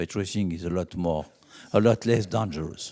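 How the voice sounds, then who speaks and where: A man's dark, mellow voice at a moderate pace, with ordinary pitch variation, on a very clean recording with a silent background. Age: 70s. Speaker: racing safety company founder. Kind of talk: speech.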